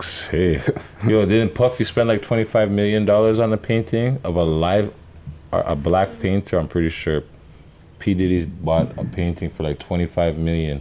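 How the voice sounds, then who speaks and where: A man's very deep, low voice with a Toronto accent, a dark, mellow tone, ordinary pitch variation and a moderate pace. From Canada, Toronto area. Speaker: podcast co-host. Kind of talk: casual chat.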